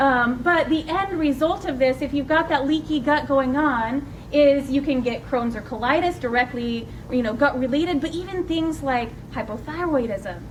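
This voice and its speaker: Through audible room echo and noticeable background noise, a woman speaks at a high pitch. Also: ordinary pitch variation, moderate pace. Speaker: nurse practitioner. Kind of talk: lecture.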